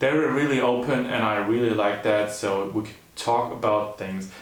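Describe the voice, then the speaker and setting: A man with fairly low pitch and fairly even intonation, plus audible room echo and noticeable background noise. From Germany. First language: German. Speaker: YouTuber in couple channel. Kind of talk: casual chat.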